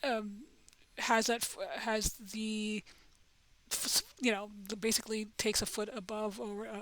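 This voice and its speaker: A woman is speaking here. Her pitch sits fairly high. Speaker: crypto gaming channel host. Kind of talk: casual commentary video. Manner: halting, many fillers and repetitions.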